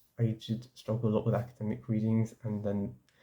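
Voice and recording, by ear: This man has a dark, mellow tone and a fairly quick pace. Audible room echo surrounds his voice.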